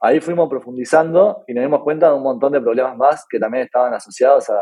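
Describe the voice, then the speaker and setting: A man with a Uruguayan accent talks at a fairly quick pace in a fairly high pitch. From Uruguay (Punta del Este). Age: 20s. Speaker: tech startup founder. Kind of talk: interview. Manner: halting, many fillers.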